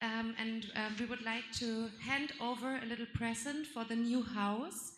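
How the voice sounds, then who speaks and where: A woman with a high pitch speaks at a fairly slow pace amid audible room echo and noticeable background noise. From Germany. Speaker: puppetry youth representative. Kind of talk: conference plenary speech.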